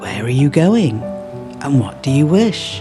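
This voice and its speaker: Music sits behind a man speaking with an English accent at a fairly high pitch. His tone is calm and his intonation lively. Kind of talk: bedtime poetry reading.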